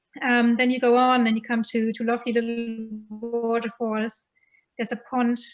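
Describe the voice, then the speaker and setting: A woman talks in a fairly high register. Music plays behind her. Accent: German. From Germany. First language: German. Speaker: festival contributor. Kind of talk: casual chat.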